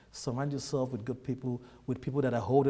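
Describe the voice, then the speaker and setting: Talking at a very fast pace in a monotone, flat intonation, a man with a Nigerian accent has a medium pitch and a dark, mellow tone. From Nigeria, Lagos. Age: 30s. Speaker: immigrant businessman. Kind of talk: interview.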